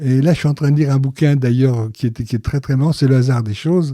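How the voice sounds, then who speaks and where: A somewhat breathy voice on a very clean recording with a silent background. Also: man, dry, close sound with no echo. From Paris, France. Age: 80s+. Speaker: interviewee, father of a Holocaust survivor family. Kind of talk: interview testimony.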